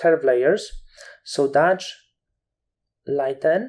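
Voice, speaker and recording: At a very slow pace, a voice with a non-native accent comes through. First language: not English. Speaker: photo editing tutor. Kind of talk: tutorial. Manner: halting.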